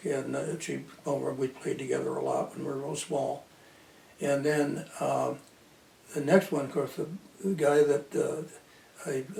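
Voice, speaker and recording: The pace is fairly slow, with long, frequent pauses. Noticeable background noise runs underneath. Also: man. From Belmont, Michigan, USA. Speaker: local historian, former Marine. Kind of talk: oral history interview answer.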